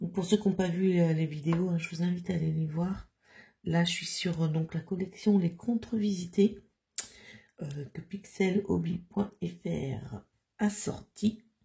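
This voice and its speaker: A woman speaks at a fairly slow pace in a fairly low, somewhat breathy voice, dark and mellow in tone, with ordinary pitch variation. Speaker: crafting YouTuber. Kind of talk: casual craft tutorial vlog. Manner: hesitant, many fillers.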